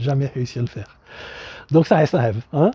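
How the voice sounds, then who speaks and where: A man with a strong non-native accent speaks in a dark, mellow tone. His voice is somewhat breathy, and the background is quiet. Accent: thick foreign accent in French. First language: not French (speaking French). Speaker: dog breeder and channel host. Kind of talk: casual vlog presentation. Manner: halting, many hesitations.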